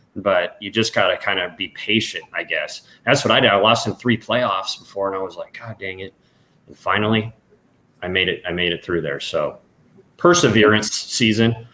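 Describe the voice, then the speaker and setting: Speaking at a moderate pace with an American accent, a man has a bright, sharp tone and big swings in loudness. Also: fairly low pitch for a man, ordinary pitch variation. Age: 30s. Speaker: professional golfer. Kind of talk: casual chat.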